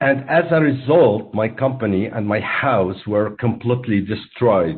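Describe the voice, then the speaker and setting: At a fairly slow pace, a man with an Arabic accent speaks at a medium pitch with ordinary pitch variation. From Syria, Aleppo. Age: 40s. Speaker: entrepreneur. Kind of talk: personal testimony. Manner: prepared, formal delivery.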